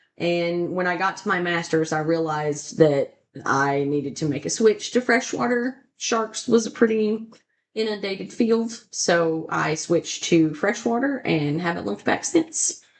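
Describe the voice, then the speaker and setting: Very wide pitch swings mark this woman's speech. She has a Tennessee accent and a fairly low pitch. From Tennessee (north central, near Dale Hollow Lake). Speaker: fisheries biologist. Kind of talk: podcast interview.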